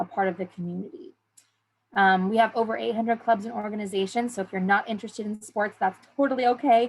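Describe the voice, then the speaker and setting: In a very clean recording with a silent background, a woman with an American accent speaks at a fairly quick pace in a somewhat breathy voice with fairly even intonation. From southern California (San Diego). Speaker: university admissions advisor. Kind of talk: information session presentation. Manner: fast; hesitant with frequent fillers.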